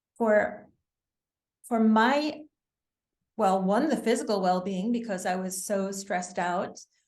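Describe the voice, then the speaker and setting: A woman at medium pitch with ordinary pitch variation, at a very slow pace with long, frequent pauses, amid audible room echo. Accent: American. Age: 60s. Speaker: wellness author. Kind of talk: interview.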